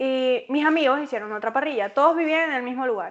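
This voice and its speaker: A woman with a Venezuelan accent speaks at a moderate pace in a high voice with ordinary pitch variation, and the background is quiet. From Venezuela, Maturín. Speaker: podcast guest. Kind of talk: casual chat.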